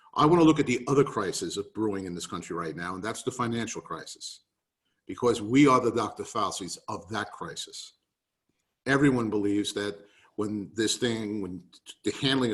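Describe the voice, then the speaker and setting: A man with a New York accent, medium pitch and a fairly quick pace. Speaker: real estate market speaker. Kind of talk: webinar presentation. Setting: video call.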